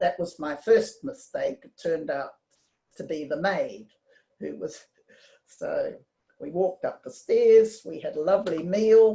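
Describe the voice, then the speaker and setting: A woman at a fairly slow pace with a New Zealand accent. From New Zealand, Auckland. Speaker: community member telling life story. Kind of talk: personal storytelling talk. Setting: video call. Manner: halting.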